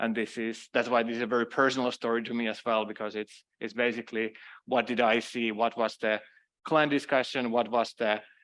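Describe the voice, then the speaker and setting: Against a quiet background, a man with a Finnish accent speaks at a fairly quick pace. His medium-pitched voice has monotone, flat intonation. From Finland. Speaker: cloud security consultant. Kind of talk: conference talk.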